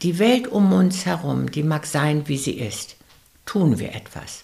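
This woman has a very deep, low voice. Background noise is noticeable throughout. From West Prussia. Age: 70s. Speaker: philanthropist and rider. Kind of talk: interview.

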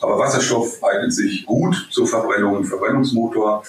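A man keeps a moderate pace while noticeable background noise continues. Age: 50s. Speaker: vehicle technology expert. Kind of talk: interview. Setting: remote call.

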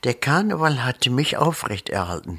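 A man at a very slow pace with a bright, sharp tone. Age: 80s+. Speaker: retired nurse and carnival organizer. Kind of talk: interview.

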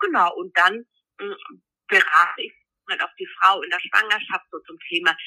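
Her medium-pitched voice carries lively intonation as the woman speaks. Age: 40s. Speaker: midwife. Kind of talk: interview.

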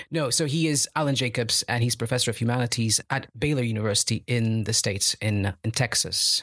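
In a very clean recording with a silent background and a dry, close sound with no echo, a man with a plain, everyday voice and medium pitch speaks with hardly any pauses, ordinary pitch variation and very even loudness. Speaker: researcher. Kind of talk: casual chat.

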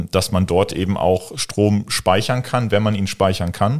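A man talks at a moderate pace with a fairly low pitch and fairly even intonation on a very clean recording with a silent background. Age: 20s. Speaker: entrepreneur in renewable energy. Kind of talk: interview. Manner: hesitant, many fillers.

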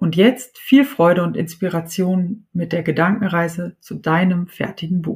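A woman with a medium pitch speaks in a somewhat breathy, calm, soothing tone. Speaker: podcast host and writing coach. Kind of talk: guided meditation. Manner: slow, calm and soothing, with long pauses; soft-spoken, warm and gentle.

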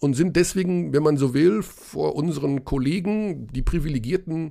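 A man talks at a moderate pace in a fairly high pitch, his tone dark and mellow. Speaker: basketball podcast host. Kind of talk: casual chat.

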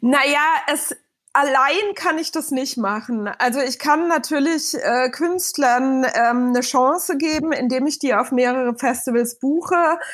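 With ordinary pitch variation, the speech proceeds fairly slowly. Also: woman, high pitch for a woman, very clean recording, silent background. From Bavaria, Munich suburb. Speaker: festival booker. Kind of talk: podcast interview.

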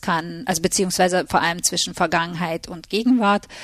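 Fairly quick and fairly even in intonation, a woman talks with fairly low pitch. Hers is an unremarkable speaking voice. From Hungary and Germany. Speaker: literary translator. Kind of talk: interview.

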